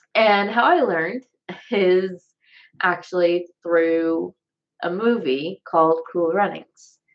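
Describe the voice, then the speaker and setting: A woman's fairly low voice at a very slow pace, with long, frequent pauses and an American accent. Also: ordinary pitch variation. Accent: Southern US, comes and goes. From US South. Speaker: vlogger. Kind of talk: casual chat. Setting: live stream at home.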